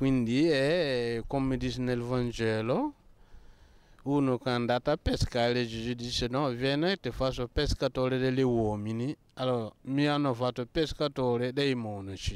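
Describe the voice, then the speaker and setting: A man's medium-pitched voice at a fairly slow pace, with fairly even intonation, very even loudness and a dry sound with no echo. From Burkina Faso. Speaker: Benedictine monk. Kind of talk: interview. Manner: halting. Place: street. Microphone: handheld.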